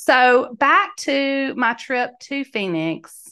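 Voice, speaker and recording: A woman speaks in a high, bright and sharp voice with a warm, animated tone. Her pitch swings very widely against a quiet background. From Mississippi. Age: 50s. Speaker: podcast host and life coach. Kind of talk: solo podcast storytelling. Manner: warm and animated.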